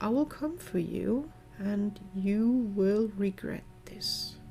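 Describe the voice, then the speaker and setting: A woman puts on a growling character voice, medium in pitch with ordinary pitch variation. She goes at a very slow pace over clear background noise. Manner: growling, threatening.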